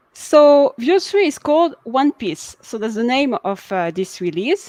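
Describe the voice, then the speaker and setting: A woman speaks with a strong French accent at a fairly slow pace. Her high voice swings very widely in pitch. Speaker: web developer. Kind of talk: technical talk.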